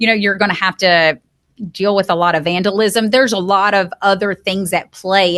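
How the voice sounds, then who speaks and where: Against a quiet background, a woman in an Alabama accent speaks at a fairly quick pace and a medium pitch, her tone bright and sharp and her intonation fairly even. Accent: country Alabama. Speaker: real estate company CEO. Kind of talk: podcast interview.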